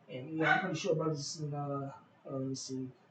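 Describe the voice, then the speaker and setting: A man speaks over noticeable background noise. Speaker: bible teacher. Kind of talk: scripture reading with commentary. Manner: halting.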